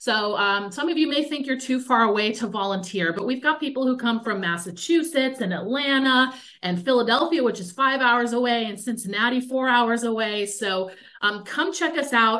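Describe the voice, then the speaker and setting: With a quiet background, a woman is speaking. Her pace is moderate and her pitch variation ordinary. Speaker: museum public programs manager. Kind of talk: webinar hosting. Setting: video call. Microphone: webcam.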